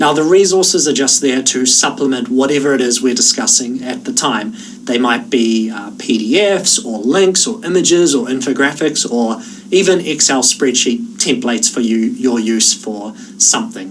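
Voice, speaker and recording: In a room with audible echo and noticeable background noise, a man with a New Zealand accent talks at a moderate pace and fairly high pitch, his pitch swinging very widely. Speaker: online course instructor. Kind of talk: tutorial. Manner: casual.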